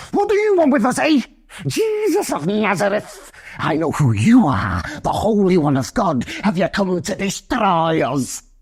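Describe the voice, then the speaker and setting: At a middle pitch, someone performs a put-on character voice. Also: moderate pace. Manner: loud, fearful, defiant.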